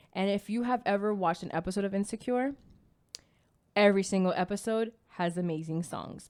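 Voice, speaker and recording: A woman speaks at a medium pitch and a moderate pace with ordinary pitch variation, in a very clean recording with a silent background. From Miami, Florida. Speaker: podcast co-host. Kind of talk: casual podcast chat and TV review. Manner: expressive.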